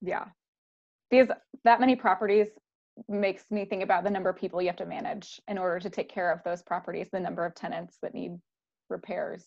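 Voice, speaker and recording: A woman at medium pitch with vocal fry, a very fast pace and long, frequent pauses, over a quiet background. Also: fairly even intonation. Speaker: podcast host. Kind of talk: casual interview.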